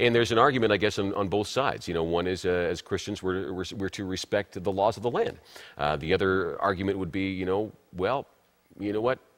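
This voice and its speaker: In a very clean recording with a silent background, a man with an ordinary speaking voice talks at a fairly quick pace, his fairly low pitch showing ordinary pitch variation. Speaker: TV talk show host and broadcaster. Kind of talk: TV talk show host introduction.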